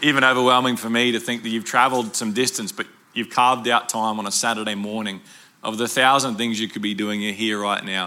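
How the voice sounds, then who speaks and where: A man talks at a medium pitch with an Australian accent. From Brisbane, Australia. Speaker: pastor. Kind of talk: sermon.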